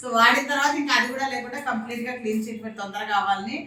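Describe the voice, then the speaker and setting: A plain, everyday voice, its pitch varying in an ordinary way. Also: woman. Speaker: Unani doctor. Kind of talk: interview with patient.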